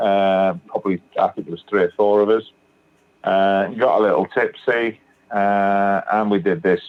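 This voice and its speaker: A man with a British accent, fairly low pitch, fairly even intonation and a fairly slow pace. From northern England, Manchester. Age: 60s. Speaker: recovering alcoholic sharing his story. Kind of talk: testimony.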